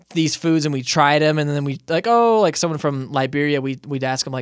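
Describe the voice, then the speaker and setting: A man with an American accent talks at a fairly quick pace and a fairly high pitch, with ordinary pitch variation. It's a plain, everyday voice in a very clean recording with a silent background. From Southern California (Moreno Valley). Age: 30s. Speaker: podcast host. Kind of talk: casual interview chat.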